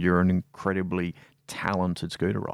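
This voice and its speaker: A man with an Australian accent, very deep and low in pitch, talking at a fairly quick pace, with a dry, close sound, no echo, and a very clean recording against a silent background. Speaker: podcast host. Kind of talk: casual interview; scripted intro narration.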